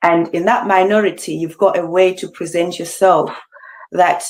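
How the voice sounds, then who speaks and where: A woman speaks in a Zimbabwean accent. Her intonation is monotone and flat. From Zimbabwe, Bulawayo. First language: Ndebele. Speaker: beauty pageant finalist. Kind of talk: interview.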